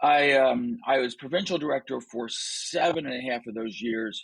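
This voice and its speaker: Speaking in a normal speaking voice, a man keeps a medium pitch with ordinary pitch variation. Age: 60s. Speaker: leadership coach and author. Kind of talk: interview conversation.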